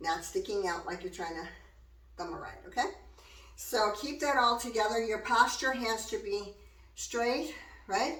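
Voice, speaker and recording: The speaker goes at a fairly slow pace with long, frequent pauses, very wide pitch swings and big swings in loudness, against noticeable background noise and audible room echo. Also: woman, fairly high pitch for a woman. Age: 60s. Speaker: hula and fitness instructor. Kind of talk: exercise tutorial. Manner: casual, chatty.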